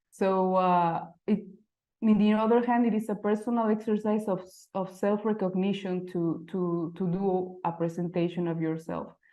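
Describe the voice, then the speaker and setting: A woman speaks in a Mexican accent. Her intonation is fairly even. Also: medium pitch for a woman, moderate pace. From Mexico City. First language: Spanish. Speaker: type designer. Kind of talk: presentation. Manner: halting.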